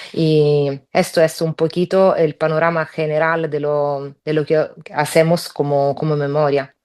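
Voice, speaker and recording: A woman with an Italian accent speaks at a fairly slow pace, her pitch very deep and low. Her intonation is monotone and flat, over a quiet background. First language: Italian (speaking Spanish). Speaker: human rights advocate, victim's relative. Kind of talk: panel talk. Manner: halting, many fillers.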